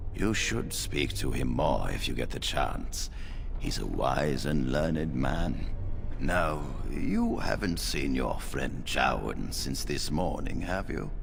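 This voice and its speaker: Under loud background noise, a man puts on a character voice and speaks at a fairly slow pace. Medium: machinima. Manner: authoritative, measured.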